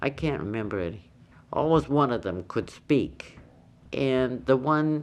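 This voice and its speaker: Against a quiet background, a woman with a very deep, low pitch and vocal fry speaks at a fairly slow pace with lively intonation. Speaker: longtime island resident recalling deaf community. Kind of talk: oral history interview answer.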